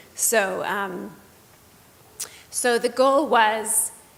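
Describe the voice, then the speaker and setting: A woman's fairly high voice at a very slow pace, with ordinary pitch variation and audible room echo. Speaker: children's book author. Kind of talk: panel talk. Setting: stage with audience. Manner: halting, many fillers.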